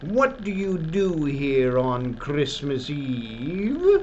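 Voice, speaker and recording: Over clear background noise, a man puts on a character voice, speaking very slowly at a fairly high pitch. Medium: read story. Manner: commanding, mocking.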